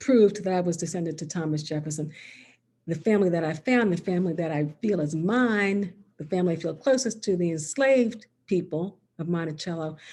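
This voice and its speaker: At a fairly quick pace, a woman speaks in a somewhat breathy, fairly low voice with ordinary pitch variation. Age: 60s. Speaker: author. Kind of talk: author talk. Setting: video call.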